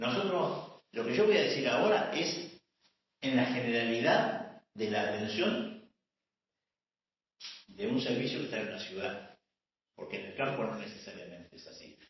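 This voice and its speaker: A man at a medium pitch talks at a fairly slow pace, with long, frequent pauses. His loudness swings widely and his pitch moves through very wide swings. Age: 70s. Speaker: gynecology professor. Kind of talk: lecture.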